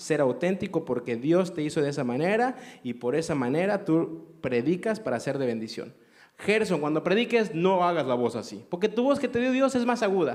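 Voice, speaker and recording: A high male voice at a moderate pace, its pitch swinging very widely. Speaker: radio host and preacher, theology teacher. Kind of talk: live event interview.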